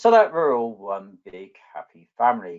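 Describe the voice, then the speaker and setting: Using a southwest English accent, a man talks with very wide pitch swings. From southwest England. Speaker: database architect, conference presenter. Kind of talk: technical presentation.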